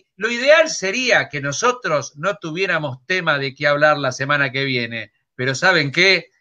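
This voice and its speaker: A man speaks in a raised, projected voice with a bright, sharp tone and very wide pitch swings. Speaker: comedian. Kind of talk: stand-up style news comedy.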